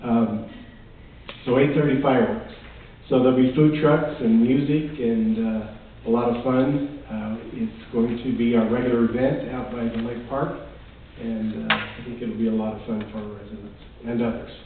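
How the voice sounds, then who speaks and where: Audible room echo surrounds a man whose voice shows big swings in loudness. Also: medium pitch for a man, fairly even intonation, moderate pace. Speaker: town manager. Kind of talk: council meeting report.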